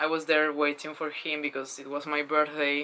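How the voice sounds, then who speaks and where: A woman speaks at a fairly slow pace in a Spanish accent. Her pitch is very deep and low, and her tone is bright and sharp. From Spain. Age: 20s. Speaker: vlogger. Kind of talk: casual vlog storytelling. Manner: hesitant, with fillers.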